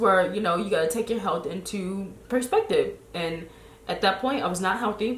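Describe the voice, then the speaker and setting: With a slight Chicago accent, a woman speaks at a moderate pace in a fairly high, animated voice with lively intonation, amid audible room echo. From Chicago, US. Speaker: lifestyle blogger. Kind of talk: casual chat.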